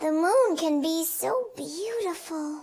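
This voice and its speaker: A woman uses a put-on character voice at an extremely high pitch. Her intonation is lively and her pace fairly slow. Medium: read story.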